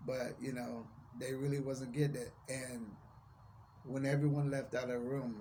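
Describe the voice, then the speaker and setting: A man's medium-pitched voice carries a monotone, flat intonation. Audible room echo surrounds it. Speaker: vlogger. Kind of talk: personal testimony vlog. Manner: careful enunciation.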